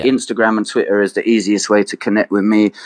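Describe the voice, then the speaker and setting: A man with a London accent, medium pitch and a very fast pace. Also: dry, close sound with no echo. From London, England. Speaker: hip hop artist. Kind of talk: interview. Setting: remote call. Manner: halting, repeats words.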